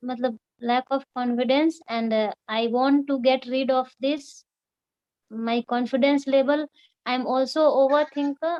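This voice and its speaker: A woman's high-pitched voice, fairly slow and fairly even in intonation. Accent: Bihar. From Bihar, India (Muzaffarpur). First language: Hindi. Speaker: student. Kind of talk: self-introduction. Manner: halting. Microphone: connection problems.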